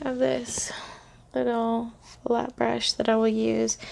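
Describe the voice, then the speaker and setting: A soft-spoken woman with a fairly high pitch keeps her intonation fairly even against noticeable background noise. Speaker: makeup tutorial creator. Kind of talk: tutorial. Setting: at home, evening. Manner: casual.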